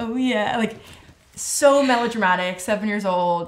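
American accent, female voice, ordinary pitch variation. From Southern California, Calabasas; Southern California. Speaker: singer and music video director; guest. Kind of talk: casual interview. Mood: relaxed, thoughtful, animated. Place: studio.

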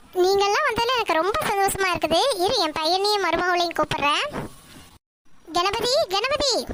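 Doing a cartoonish character voice, a woman speaks at extremely high pitch with lively intonation, very even loudness and a moderate pace. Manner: warm, familiar.

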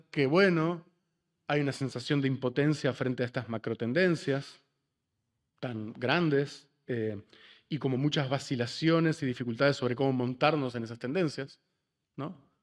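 Against a quiet background, a man speaks at a fairly slow pace with long, frequent pauses and ordinary pitch variation. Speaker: panelist, writer and activist; panelist. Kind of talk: panel discussion. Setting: auditorium panel with audience and interpreters. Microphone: podium.

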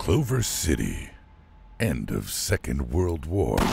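Using a cartoonish character voice, a man speaks at a fairly slow pace with a very deep, low pitch and very wide pitch swings. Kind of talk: movie trailer.

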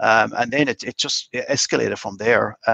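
With a Cork accent, a man talks in a bright, sharp tone with vocal fry and ordinary pitch variation. The sound is dry with no echo, and the background is quiet. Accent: Irish (Cork). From Ireland, County Cork (Mitchellstown); County Cork, Ireland. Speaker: master distiller; guest. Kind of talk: casual interview chat. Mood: warm, enthusiastic. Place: home room. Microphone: video call.

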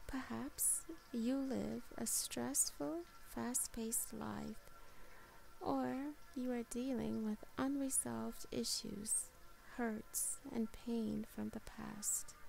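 Over music in the background, a woman talks at a very slow pace in a calm, soothing tone. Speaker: meditation guide and channel host. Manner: slow, soothing, gentle; calm and soft-spoken, with long pauses.

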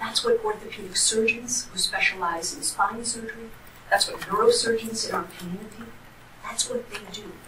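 A woman at a moderate pace with ordinary pitch variation, against noticeable background noise. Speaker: trial attorney. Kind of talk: courtroom opening statement. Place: hall. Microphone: camera far.

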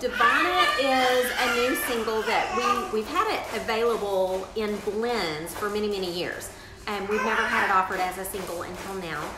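A woman speaks at a medium pitch and a moderate pace, with ordinary pitch variation and few pauses. There is audible room echo.

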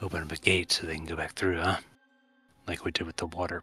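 A man speaks in a put-on character voice, very deep and low in pitch and raspy. He talks very fast with a monotone, flat intonation.

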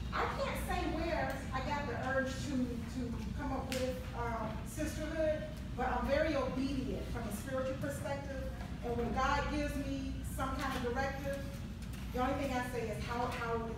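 A woman at a moderate pace, amid loud background noise and audible room echo. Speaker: guest. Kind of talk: personal story at a community event. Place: hall.

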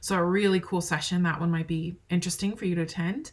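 A woman with a fairly low pitch speaks at a fairly quick pace. Her voice is somewhat breathy, with fairly even intonation. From Wyoming. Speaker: college marketing instructor; marketing instructor. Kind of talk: recorded lecture; lecture. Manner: casual with many fillers. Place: home room. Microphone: webcam.

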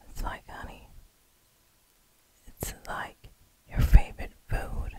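Whispering with a gentle tone, a woman speaks with an American accent. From New York City, United States. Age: 30s. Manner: slow, gentle, whispery ASMR delivery. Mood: prayerful, devout. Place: home room. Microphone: studio mic.

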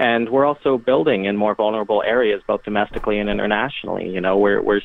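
A man talks in an unremarkable speaking voice at a fairly quick pace. His pitch is fairly low, with ordinary pitch variation. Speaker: disaster preparedness expert. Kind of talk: casual chat.

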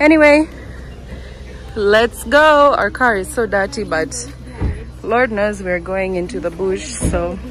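Very slow speech over background music. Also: dry sound with no echo. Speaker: vlogger filming family. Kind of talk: casual vlog chat. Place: street. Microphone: phone near.

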